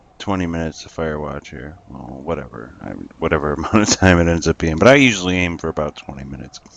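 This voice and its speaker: A very deep, low-pitched man's voice at a fairly quick pace, with noticeable background noise. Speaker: gaming youtuber. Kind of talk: let's play commentary. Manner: halting.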